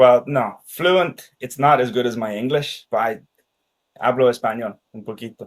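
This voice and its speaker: A man with a Danish accent, medium pitch and ordinary pitch variation, at a moderate pace. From Ireland and Denmark. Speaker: sales expert. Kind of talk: casual interview chat.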